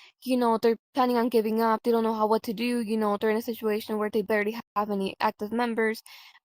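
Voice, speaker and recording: Speech in a Spanish accent rushes at a very fast pace with hardly any pauses and monotone, flat intonation. The sound is dry and close with no echo. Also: woman, fairly high pitch for a woman. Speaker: role-play group leader. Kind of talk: interview. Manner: hesitant, many fillers.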